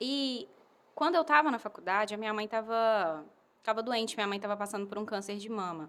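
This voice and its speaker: A woman speaks with a fairly high pitch and a bright, sharp tone. Her pitch varies in an ordinary way. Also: very clean recording, silent background. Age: 20s. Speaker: advertising professional and missionary. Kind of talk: podcast interview. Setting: home.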